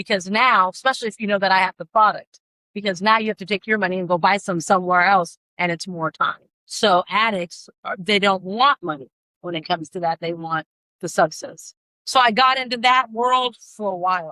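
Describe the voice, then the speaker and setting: A woman's bright, sharp tone at a fairly quick pace, in dry, close sound with no echo. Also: medium pitch for a woman, ordinary pitch variation. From Washington state (Yelm), moved from London at about ten. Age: 50s. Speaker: mother of a person with addiction. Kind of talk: interview.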